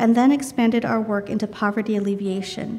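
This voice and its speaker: A soft-spoken woman with a fairly high pitch talks at a moderate pace with ordinary pitch variation, amid audible room echo. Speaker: charity representative giving a guest sermon. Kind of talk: sermon. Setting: church.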